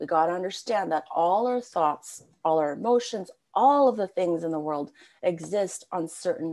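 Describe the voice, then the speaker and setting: With an ordinary speaking voice, this woman speaks at a fairly low pitch. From Canada. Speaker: spiritual coach. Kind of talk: podcast interview. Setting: video call.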